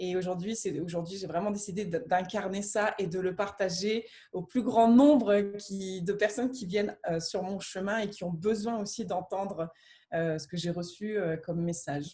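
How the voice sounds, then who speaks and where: A woman speaks at medium pitch and a moderate pace, somewhat breathy with a dark, mellow tone. Her pitch varies in an ordinary way. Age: 30s. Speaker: near-death experiencer and coach. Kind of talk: testimony in a conversation.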